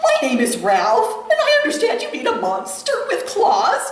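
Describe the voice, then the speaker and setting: An extremely high-pitched, put-on character voice speaks at a moderate pace with a clear echo around it. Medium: read story. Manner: prim, refined.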